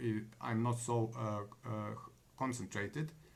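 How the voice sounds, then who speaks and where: The speaker has a non-native accent. The pace is fairly slow and the intonation fairly even. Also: man. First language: not English. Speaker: online business vlogger. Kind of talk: live monologue. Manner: halting, many fillers.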